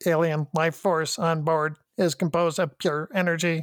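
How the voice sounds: A robotic, put-on character voice at a middle pitch and moderate pace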